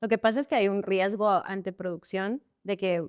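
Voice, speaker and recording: A woman speaks at a medium pitch and moderate pace with ordinary pitch variation, in an unremarkable speaking voice. The sound is dry and close, with no echo. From Guatemala. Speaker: actress and stunt performer. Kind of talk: casual interview chat.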